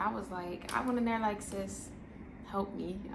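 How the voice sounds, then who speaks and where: With noticeable background noise behind her, a woman speaks at a moderate pace with an American accent. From Washington DC metro area. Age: 20s. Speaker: new mother. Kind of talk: casual talk to camera.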